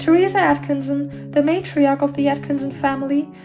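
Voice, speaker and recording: A woman with a German accent at a moderate pace, with music in the background. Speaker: true crime narrator. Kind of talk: true crime narration.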